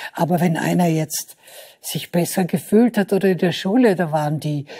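In a quiet background, a somewhat breathy woman speaks at a fairly low pitch and moderate pace, her tone dark and mellow, with ordinary pitch variation. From Vorarlberg, Austria. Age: 70s. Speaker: writer. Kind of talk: talk show interview answer. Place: studio. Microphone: lapel.

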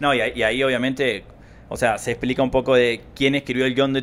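A man speaks at a very fast pace. His intonation is monotone and flat. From Argentina. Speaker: podcast co-host. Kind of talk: casual conversational podcast. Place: home room. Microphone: handheld.

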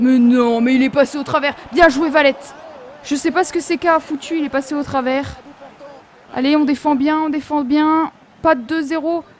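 High-pitched woman's voice at a moderate pace, broken by long, frequent pauses, over noticeable background noise. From France, Nancy (Lorraine). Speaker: gaming youtuber. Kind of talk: gameplay commentary. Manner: animated.

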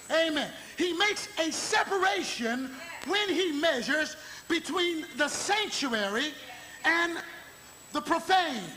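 A man speaks in a raised, projected voice with extremely high pitch and lively intonation, at a very slow pace with long, frequent pauses and very even loudness, over light background noise. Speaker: bishop, gospel preacher. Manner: emphatic preaching, repeating phrases, call-and-response cadence. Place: church. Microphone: podium.

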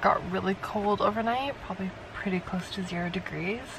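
Fairly even intonation in a dry sound with no echo, with noticeable background noise. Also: woman. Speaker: travel vlogger. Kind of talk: casual vlog talk to camera. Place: car. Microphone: phone near.

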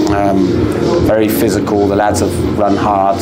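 A man's voice over loud background noise. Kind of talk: interview answer. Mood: pleased, relieved after win. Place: stadium. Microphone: lapel.

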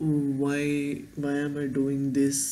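This man has a dark, mellow tone. He speaks with an Indian accent. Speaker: vlogger and engineering student. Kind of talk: casual vlog monologue. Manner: halting, rambling. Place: home room. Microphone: webcam.

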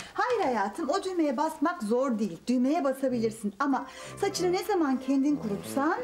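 Clear music plays in the background as a woman speaks at a high pitch. Her pace is moderate. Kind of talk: scripted drama dialogue. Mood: warm, gently explaining. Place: home room.

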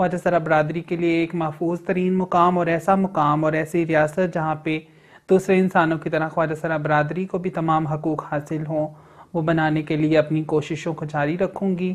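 A woman at a fairly low pitch, monotone and flat, against a quiet background. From Okara, Punjab, Pakistan; Punjab, Pakistan. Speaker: transgender rights activist. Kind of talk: news interview statement. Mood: proud, earnest. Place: office.

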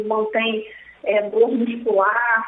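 A woman with a high voice speaks at a very slow pace against noticeable background noise. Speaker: cardiologist. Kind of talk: interview.

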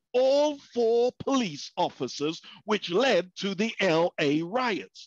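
Speaking very slowly in a British accent, a man with a high-pitched voice swings very widely in pitch, recorded with a dry, close sound and no echo. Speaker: pastor. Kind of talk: sermon. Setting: video call.

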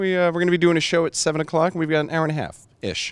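The tone is clear and smooth, and the pace is fast. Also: man.

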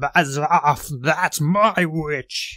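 A man puts on a shrill, croaky, growling character voice pitched fairly high for a man. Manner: threatening, fierce.

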